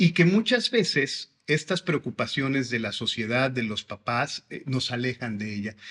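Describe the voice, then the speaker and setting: A man with an ordinary speaking voice, medium in pitch and lively in intonation, at a fairly slow pace with hardly any pauses, in a dry, close sound with no echo, in a very clean recording with a silent background. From Mexico, Veracruz (Xalapa). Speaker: school director. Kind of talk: interview.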